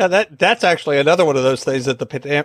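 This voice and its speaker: Here a man talks with ordinary pitch variation. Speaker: podcast host. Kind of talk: interview.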